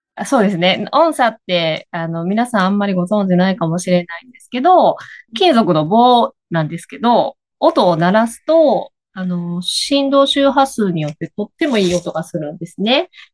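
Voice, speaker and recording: A woman at medium pitch in a Kansai accent, with very wide pitch swings, a moderate pace and a dry, close sound with no echo. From Higashiosaka, Kansai. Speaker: coffee bean shop owner. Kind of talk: casual chat. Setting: video call.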